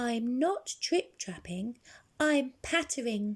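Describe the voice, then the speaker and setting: She talks at a very slow pace. The woman's put-on character voice is high-pitched. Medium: read story.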